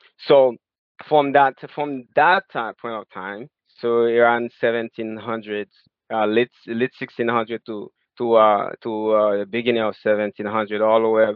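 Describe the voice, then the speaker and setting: Intonation is fairly even. Words come out very slowly. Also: man. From Haiti. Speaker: author. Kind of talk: interview. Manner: halting, many fillers and repeats.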